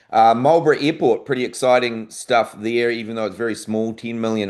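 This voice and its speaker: Against a quiet background, a man with a New Zealand accent speaks with ordinary pitch variation. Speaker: aviation industry presenter. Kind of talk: conference presentation. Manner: casual, with many fillers.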